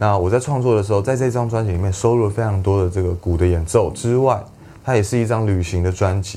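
A man at a fairly low pitch and fairly quick pace, intonation fairly even, over noticeable background noise. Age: 20s. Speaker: singer-songwriter and drummer. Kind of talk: casual interview.

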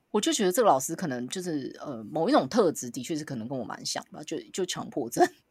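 Animated and very fast, a woman talks with very wide pitch swings and big swings in loudness. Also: hardly any pauses. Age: 30s. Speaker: podcast co-host. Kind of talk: casual chat.

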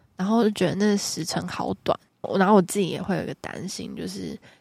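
This woman talks at a fairly quick pace in a medium pitch, with vocal fry. Her intonation stays fairly even. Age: 20s. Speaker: psychology graduate student. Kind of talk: casual chat.

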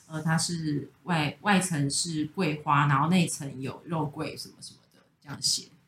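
A woman speaks in a normal speaking voice at a fairly low pitch. Her pace is moderate and her intonation fairly even. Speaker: pastry chef and bakery co-founder. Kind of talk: casual chat. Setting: recording at a friend's home.

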